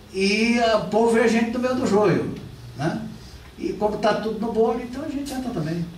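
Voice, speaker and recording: A man's high-pitched voice at a moderate pace with ordinary pitch variation, audible room echo and noticeable background noise. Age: 60s. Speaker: politician and lecturer. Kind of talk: lecture. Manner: conversational, with repetitions.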